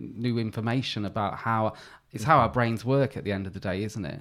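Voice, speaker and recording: Fairly quick in pace, a man with an ordinary speaking voice talks at a medium pitch with ordinary pitch variation. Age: 40s. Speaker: podcast host. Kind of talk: casual chat. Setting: video or remote call.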